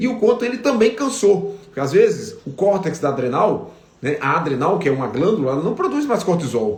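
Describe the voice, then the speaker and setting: A high-pitched man with very wide pitch swings and hardly any pauses, against noticeable background noise. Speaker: veterinarian. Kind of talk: live stream Q&A lecture. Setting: Instagram live stream. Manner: fast.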